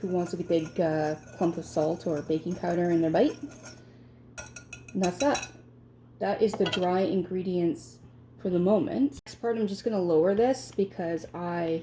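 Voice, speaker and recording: Her pitch fairly low, a woman speaks at a moderate pace with ordinary pitch variation. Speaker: home baking video host. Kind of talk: cooking tutorial. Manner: pauses often while speaking; casual, chatty.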